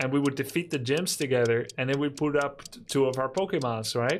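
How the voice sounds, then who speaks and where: Noticeable background noise sits under talking at a fairly quick pace. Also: man. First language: not English. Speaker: gaming streamer. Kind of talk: live game commentary with chat. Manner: casual, chatty with hesitations.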